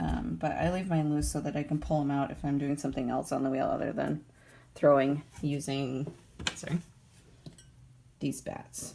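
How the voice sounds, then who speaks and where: Quietly, a woman talks at a moderate pace, leaving long, frequent pauses. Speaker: professional potter. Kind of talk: pottery tutorial talk to camera. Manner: rambling, quiet, low-talking.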